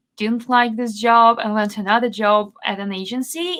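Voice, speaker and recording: Bright and sharp in tone, a woman speaks with ordinary pitch variation. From Belarus. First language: Belarusian and Russian. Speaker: SEO consultant. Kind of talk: podcast interview.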